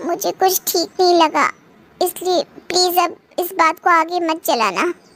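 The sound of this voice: A cartoonish character voice from a woman, extremely high in pitch, at a moderate pace with fairly even intonation, in a dry, close sound with no echo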